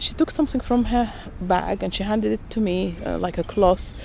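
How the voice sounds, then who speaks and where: Somewhat breathy and delivered at a moderate pace, this voice has lively intonation and a Russian accent. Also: woman. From Sudan. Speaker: interviewee sharing migration story. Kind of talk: personal storytelling. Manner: hesitant, many fillers.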